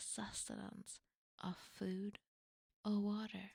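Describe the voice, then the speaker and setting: At a medium pitch, a woman speaks with a somewhat breathy quality and ordinary pitch variation, the sound dry and close with no echo. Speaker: vtuber streamer. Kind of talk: casual talk to camera.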